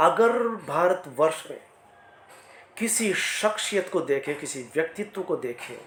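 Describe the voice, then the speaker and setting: This man's voice sits high. Lively intonation runs through his speech. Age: 60s. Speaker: motivational speaker. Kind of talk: motivational talk.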